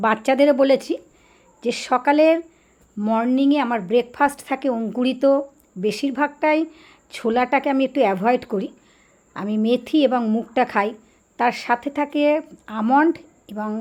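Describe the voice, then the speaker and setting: Her high-pitched voice comes through a very clean recording with a silent background. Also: ordinary pitch variation. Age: 60s. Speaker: yoga teacher. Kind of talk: vlog talk to camera.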